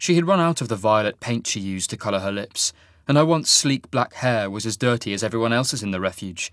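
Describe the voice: Lively intonation marks this plain reading aloud.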